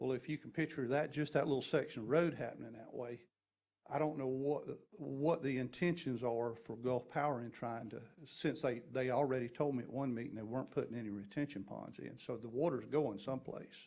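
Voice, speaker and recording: Speaking in a Southern US accent, a man keeps a medium pitch with ordinary pitch variation. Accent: US South. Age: 50s. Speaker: resident speaking at public hearing. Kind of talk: public comment. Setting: public meeting. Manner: halting.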